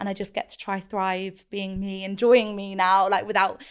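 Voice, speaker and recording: This woman talks at a moderate pace and medium pitch in a very clean recording with a silent background. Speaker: body confidence influencer. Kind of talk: casual interview. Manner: casual, filler-heavy.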